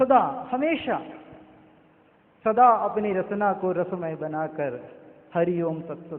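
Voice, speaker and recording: The man's voice carries audible room echo. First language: not Hindi (speaking Hindi). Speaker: devotee speaker at scripture discourse. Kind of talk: devotional sermon.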